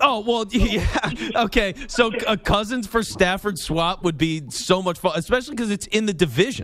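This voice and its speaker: Animated and lively in intonation, a man with a high pitch talks at a moderate pace with hardly any pauses. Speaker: sports radio host. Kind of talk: call-in sports talk radio.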